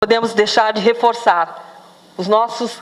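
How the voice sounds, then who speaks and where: Through noticeable background noise, a woman's fairly even intonation comes across. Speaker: project coordinator presenting a social project. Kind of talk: launch event presentation.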